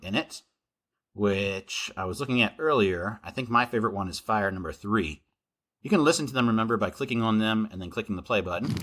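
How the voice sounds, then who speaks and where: A man speaks with a bright, sharp tone at a fairly low pitch. His intonation is lively. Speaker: coding teacher. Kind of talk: tutorial. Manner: animated.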